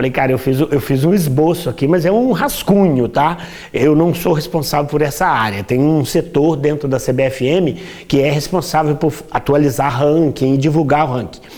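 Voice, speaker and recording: A man with a Minas Gerais accent, fairly high in pitch, at a moderate pace with ordinary pitch variation. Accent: Brazilian Portuguese, Minas Gerais (mineiro). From Brazil, Minas Gerais (Juiz de Fora). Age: 60s. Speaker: dentist and table football player. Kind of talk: interview. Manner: halting, many repetitions.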